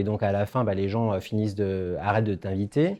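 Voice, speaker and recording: Against a quiet background, a man with a fairly low pitch and a dark, mellow tone talks at a fairly quick pace. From France. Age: 50s. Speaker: former travel company executive, conference speaker. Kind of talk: testimony. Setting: conference stage with audience. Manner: halting, many hesitations.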